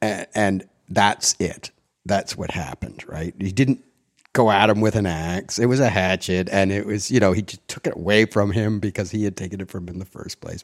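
A man with a Canadian accent speaks at a moderate pace and fairly low pitch with fairly even intonation, in dry, close sound with no echo on a very clean recording with a silent background. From Canada, Ottawa (born Montreal, English-speaking). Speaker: theatre designer. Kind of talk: casual interview. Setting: at home. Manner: halting, many fillers and restarts.

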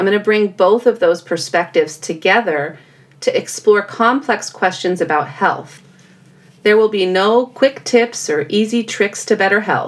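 Speaking at a fairly slow pace, a woman with an American accent holds a medium pitch with ordinary pitch variation. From California. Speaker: podcast host, health psychologist. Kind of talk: solo educational podcast monologue.

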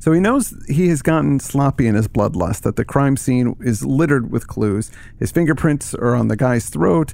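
A man with an unremarkable speaking voice and medium pitch talks at a moderate pace with hardly any pauses, lively intonation and very even loudness. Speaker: podcast co-host. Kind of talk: casual literary discussion.

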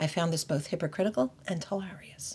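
In a very clean recording with a silent background, a woman with an American accent and a plain, everyday voice speaks fairly quickly with lively intonation. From United States. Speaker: podcast host. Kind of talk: scripted narration.

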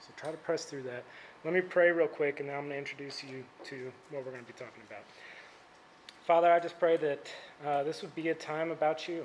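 A soft-spoken man with an American accent, fairly high in pitch and very fast, with big swings in loudness and long, frequent pauses. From Indiana, Indianapolis area. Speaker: campus ministry staff speaker. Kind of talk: sermon. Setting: stage with audience.

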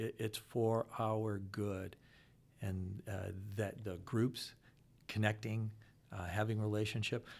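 Against a silent background on a very clean recording, someone with an American accent speaks at a very slow pace in a flat monotone, leaving long, frequent pauses. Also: man, fairly low pitch for a man. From US Midwest (Akron, Ohio). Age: 60s. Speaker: financial consultant. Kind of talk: casual interview.

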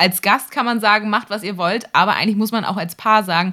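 A woman at a very fast pace. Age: 30s. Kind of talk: casual chat. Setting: video call. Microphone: close to the camera and mic, makeshift setup.

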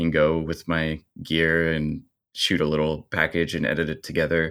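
Someone with a Midwestern American accent speaks at a moderate pace on a very clean recording with a silent background. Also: man. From US Midwest (small-town Indiana). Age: 30s. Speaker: bar owner and video editor. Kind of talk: interview conversation.

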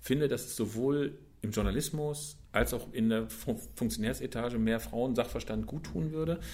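Vocal fry runs through this man's voice. His pitch sits in the medium range. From Germany, Bielefeld (East Westphalia). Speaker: football magazine editor. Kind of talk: casual interview. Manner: hesitant with many fillers.

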